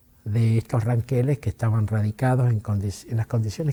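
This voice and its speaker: With fairly even intonation, a man talks at a moderate speed, his mid-pitched voice somewhat breathy and dark and mellow in tone. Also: dry, close sound with no echo. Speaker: interviewee recounting family history. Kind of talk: interview testimony. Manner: hesitant, halting with filler words.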